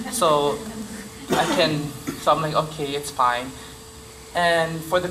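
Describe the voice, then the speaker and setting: A man with a Samoan accent, fairly high in pitch, with fairly even intonation, amid noticeable background noise and audible room echo.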